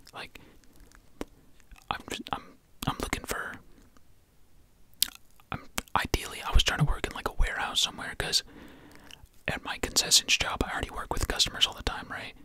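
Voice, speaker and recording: Whispering at a fairly quick pace with long, frequent pauses, over noticeable background noise. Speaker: ASMR creator. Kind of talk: ASMR whisper ramble. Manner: whispered; casual, rambling.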